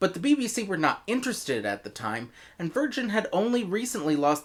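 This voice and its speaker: A man with an American accent and very wide pitch swings, in a very clean recording with a silent background. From United States. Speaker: audio drama reviewer. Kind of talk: video review.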